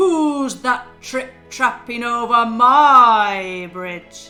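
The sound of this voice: Faint music plays behind a woman using a put-on character voice. She speaks at a high pitch and a very slow pace.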